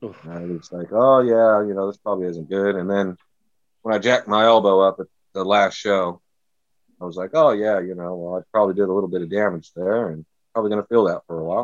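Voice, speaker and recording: This man talks at a fairly quick pace with an American accent. His pitch is fairly low with ordinary variation, over a quiet background. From US, California Central Valley. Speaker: deathmatch wrestler. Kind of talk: interview.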